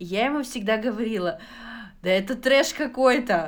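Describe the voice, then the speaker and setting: A woman's fairly high voice at a fairly slow pace, lively intonation, with audible room echo. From Kazakhstan. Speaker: podcast co-host. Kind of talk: casual chat.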